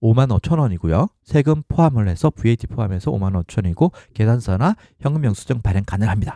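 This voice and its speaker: Dark, mellow male voice at medium pitch with very wide pitch swings, in a very clean, dry and close recording with a silent background and no echo. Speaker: blogging side-income tutorial creator. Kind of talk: screen-share tutorial. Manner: hesitant with fillers.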